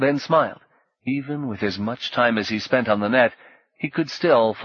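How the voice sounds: Ordinary variation in pitch marks a natural reading voice, heard against a quiet backdrop.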